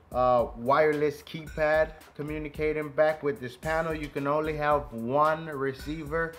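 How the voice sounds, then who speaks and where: Faint music plays in the background as the speaker talks at a fairly slow pace with fairly even intonation. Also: man. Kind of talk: tutorial.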